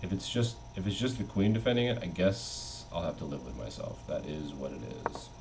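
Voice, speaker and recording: Over noticeable background noise and audible room echo, a man speaks at a fairly quick pace in a very deep, low pitch with very wide pitch swings. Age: 30s. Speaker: chess streamer. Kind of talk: casual live-stream commentary.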